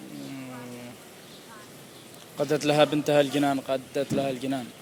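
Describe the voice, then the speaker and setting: A quiet voice with monotone, flat intonation comes through over noticeable background noise. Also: man. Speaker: vlogger. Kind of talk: casual walking vlog. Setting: outdoors in a park. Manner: quiet, lowered voice; hesitant, many fillers.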